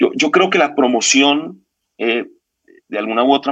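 One man talks at a moderate pace. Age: 50s. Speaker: consultancy founder. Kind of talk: interview conversation.

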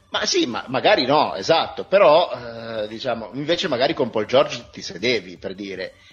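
Over music in the background, a man at medium pitch talks at a moderate pace with hardly any pauses, very wide pitch swings and big swings in loudness. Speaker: podcast co-host. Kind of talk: casual chat about basketball.

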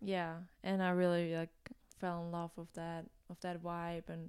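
Speaking at a fairly slow pace with a German accent, a woman is heard on a very clean recording with a silent background. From Germany. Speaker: college student and gravel cyclist. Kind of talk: casual interview.

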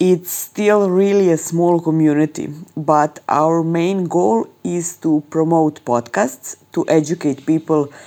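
A woman's very deep, low voice in a Serbian accent at a very slow pace. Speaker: audio journalist and podcast producer. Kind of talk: recorded voice clip about podcasting.

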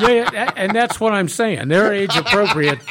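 A man speaks at a moderate pace in a high pitch. His intonation is lively and his tone fairly bright.

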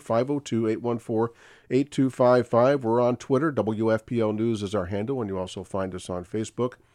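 In an ordinary speaking voice, a man talks at a moderate pace and medium pitch with ordinary pitch variation and hardly any pauses, the sound dry and close with no echo over a quiet background. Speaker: radio host. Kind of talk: radio call-in talk show. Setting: studio.

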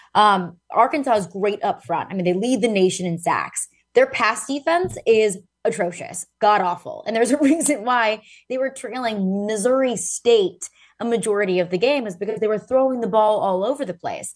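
A woman talks at a moderate pace in a fairly high pitch with lively intonation. It is an ordinary speaking voice, heard against a quiet background. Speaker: sports journalist. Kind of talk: sports talk analysis, remote. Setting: remote call-in.

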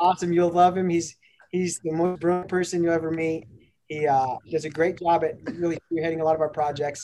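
Music plays in the background. The voice goes at a fairly quick pace with monotone, flat intonation. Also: man, high pitch for a man. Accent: American. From Denver, Colorado (north Denver). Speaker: cannabis company executive. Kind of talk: casual interview. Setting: video call.

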